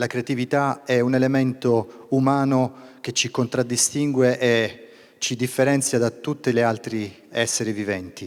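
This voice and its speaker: A man speaks at a moderate pace with an Italian accent. His pitch is medium, and his intonation stays flat and monotone. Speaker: regional business leader. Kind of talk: welcome speech. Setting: stage with audience.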